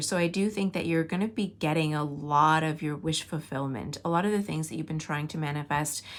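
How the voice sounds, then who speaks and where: This is a normal speaking voice, delivered at a fairly quick pace with ordinary pitch variation. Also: woman. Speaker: tarot reader, spiritual guide. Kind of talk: tarot reading to camera. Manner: casual, warm, conversational.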